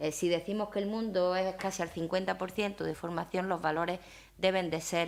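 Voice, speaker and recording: A woman with a strong Aragonese accent, fairly even intonation and a fairly quick pace, on a very clean recording with a silent background. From Spain, Zaragoza (Aragon). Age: 50s. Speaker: university leader, invited speaker. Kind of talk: talk with audience questions. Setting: breakfast event with audience.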